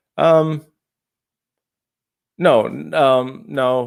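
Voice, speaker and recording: This man talks with ordinary pitch variation in a very clean recording with a silent background. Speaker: YouTuber discussing religion and atheism. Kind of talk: live stream Q&A. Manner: halting, repeating words; rambling.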